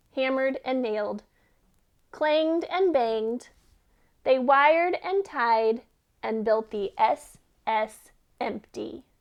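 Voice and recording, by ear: A woman's high voice with lively intonation, at a slow pace with long, frequent pauses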